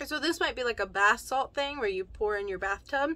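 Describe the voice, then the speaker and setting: Projecting loudly at a very fast pace, a woman with a bright, sharp tone swings her pitch very widely. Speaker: unboxing vlogger. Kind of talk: casual vlog chat. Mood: cheerful, laughing at times. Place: home room.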